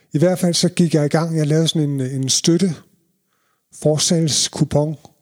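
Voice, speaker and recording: Fairly even in intonation and fairly slow in pace, the voice sounds dry and close with no echo. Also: man. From Denmark, Jutland (Ringkøbing) then North Zealand (Allerød) from age 11. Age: 50s. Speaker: reggae DJ and promoter. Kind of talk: interview, personal stories.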